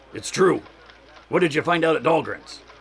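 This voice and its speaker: This man uses a raspy, put-on character voice pitched high. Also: moderate pace. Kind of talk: 1940s radio acting. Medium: audio drama. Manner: excitable, gruff.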